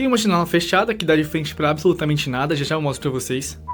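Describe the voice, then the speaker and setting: This fairly high-pitched man talks at a very fast pace with lively intonation. Noticeable background noise is present. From Brazil. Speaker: YouTuber. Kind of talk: vlog tour. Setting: at home, in bedroom. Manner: quiet in hallway, louder in room.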